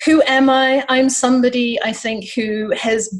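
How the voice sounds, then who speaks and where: A woman's voice over noticeable background noise. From South Africa. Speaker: life coach. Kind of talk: interview.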